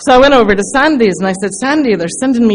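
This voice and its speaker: Amid audible room echo, a woman speaks fairly quickly at a fairly high pitch, her voice moving through very wide pitch swings. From England, London. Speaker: recovery speaker. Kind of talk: testimony. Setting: stage with audience. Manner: animated.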